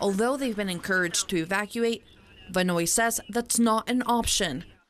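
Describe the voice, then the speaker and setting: A woman has an unremarkable speaking voice with a medium pitch and ordinary pitch variation. She keeps a moderate pace and very even loudness. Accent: American. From Maryland, USA. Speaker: TV news reporter. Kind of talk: news package narration.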